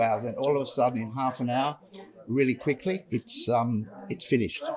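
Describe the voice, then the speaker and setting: This man has an Australian accent and a medium pitch. He speaks at a fairly quick pace with fairly even intonation. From Australia (Tasmania), born in Yorkshire. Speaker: painter. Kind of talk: artwork presentation. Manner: halting, repeats words.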